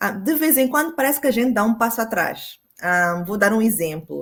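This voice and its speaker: The speaker's intonation is lively. The recording is very clean, with a silent background. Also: woman. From Mozambique. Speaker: women's rights advocate. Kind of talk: panel discussion. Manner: hesitant, many fillers.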